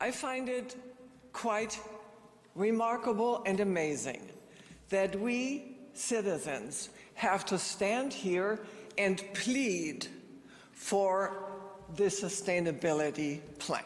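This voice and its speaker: A woman of medium pitch at a very slow pace, with long, frequent pauses and lively intonation, amid audible room echo and noticeable background noise. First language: German. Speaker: resident speaking at city council. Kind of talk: public comment speech. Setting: city council meeting.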